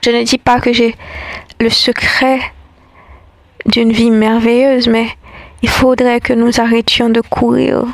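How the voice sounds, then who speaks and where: Through noticeable background noise, a woman with a fairly high pitch speaks very slowly in a flat monotone, with very even loudness and long, frequent pauses. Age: 20s. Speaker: spoken-word essayist. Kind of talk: reflective scripted monologue.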